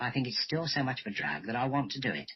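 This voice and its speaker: A man speaks with vocal fry. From southern England, Reigate, Surrey. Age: 60s. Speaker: retired parachute instructor. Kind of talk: radio interview.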